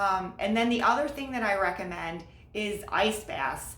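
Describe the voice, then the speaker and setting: A woman's medium-pitched voice with an upbeat tone at a fairly slow pace, over noticeable background noise. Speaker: marathon coach. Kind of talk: casual talk to camera.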